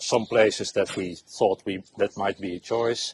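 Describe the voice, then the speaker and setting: A man with a Dutch accent speaks at a fairly slow pace. His voice sits fairly low. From Netherlands. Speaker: expat homeowner. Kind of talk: casual interview. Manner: halting.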